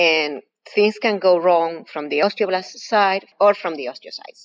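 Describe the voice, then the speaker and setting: Recorded dry and close with no echo, the voice has an Argentine accent. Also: woman. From Argentina. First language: Spanish. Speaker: professor. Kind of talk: interview.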